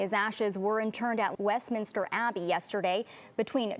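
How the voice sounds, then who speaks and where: A woman's fairly quick, medium-pitched, an ordinary speaking voice with fairly even intonation. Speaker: TV news anchor and reporter. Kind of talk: TV news anchor read.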